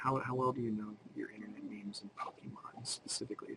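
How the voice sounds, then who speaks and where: A man's put-on character voice, whispered and soft-spoken, breathy and very fast, with light background noise. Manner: whispering.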